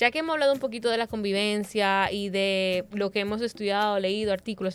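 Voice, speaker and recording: A woman speaks at a moderate pace in a normal speaking voice. Her pitch is medium and her intonation fairly even. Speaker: podcast host. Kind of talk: panel discussion.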